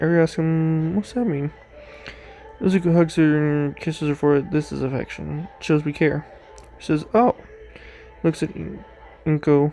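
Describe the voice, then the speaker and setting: Against music in the background, a man speaks in a fairly high pitch with fairly even intonation. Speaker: story reader, narrator. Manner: reads aloud, addresses listeners.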